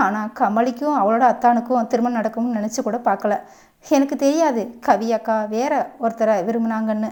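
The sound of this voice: What we hear is an unforced reading voice.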